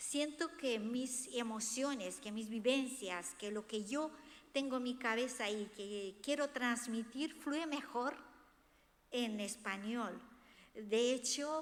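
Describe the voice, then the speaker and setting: In a Romanian accent, a woman speaks at a high pitch with ordinary pitch variation. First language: Romanian (speaking Spanish). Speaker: author. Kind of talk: book presentation talk.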